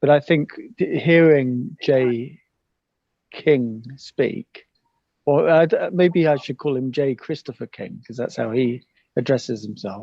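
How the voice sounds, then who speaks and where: A man's fairly high-pitched voice with an English accent, ordinary pitch variation and a fairly slow pace. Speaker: paranormal podcaster. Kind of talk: casual chat. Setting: video call.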